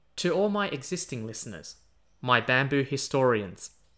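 Bright and sharp in tone, a man with an Australian accent speaks at a medium pitch and moderate pace with lively intonation, on a very clean recording with a silent background. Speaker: history podcaster. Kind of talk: scripted narration. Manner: animated.

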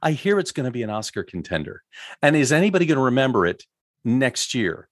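A man talks at a fairly quick pace in an ordinary speaking voice. The background is quiet. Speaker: podcast co-host. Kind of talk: casual discussion podcast.

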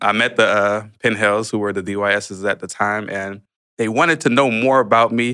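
Speaking at a moderate pace, a man has a fairly low pitch and a bright, sharp tone. The recording is very clean, with a silent background. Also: ordinary pitch variation. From Haitian family, later Miami, Florida. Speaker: pastor. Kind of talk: testimony. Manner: halting with many fillers.

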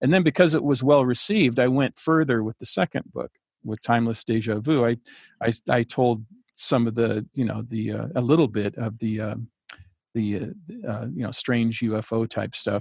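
Heard dry and close with no echo, a plain, everyday voice moves at a moderate pace with ordinary pitch variation. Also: man, medium pitch for a man. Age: 60s. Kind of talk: interview conversation. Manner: relaxed, chatty.

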